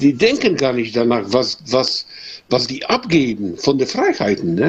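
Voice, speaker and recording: A man with a medium-pitched voice and lively intonation speaks at a fairly slow pace over noticeable background noise. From Poland. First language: Polish (speaking German). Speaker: carpenter, listener caller. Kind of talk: casual chat. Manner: halting.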